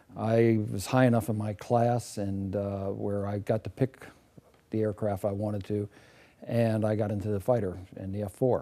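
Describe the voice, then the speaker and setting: A man with an American accent speaks at a moderate pace in a fairly low pitch. His tone is dark and mellow, and his intonation stays monotone and flat. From California, Los Angeles area. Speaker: war veteran, retired fighter crew officer. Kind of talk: oral history interview. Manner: halting, many fillers.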